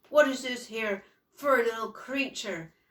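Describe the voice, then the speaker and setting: A woman uses a put-on character voice that is raspy and high-pitched. She speaks at a fairly slow pace. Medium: read story.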